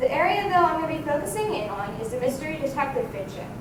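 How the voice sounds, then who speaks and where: A woman talks at a fairly quick pace with very wide pitch swings. Noticeable background noise sits behind her. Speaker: university student. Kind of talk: conference presentation.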